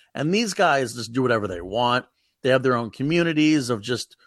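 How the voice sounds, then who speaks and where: A man with a plain, everyday voice and an American accent talks at a medium pitch and fairly quick pace against a quiet background. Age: 40s. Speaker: comedian. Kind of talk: casual chat.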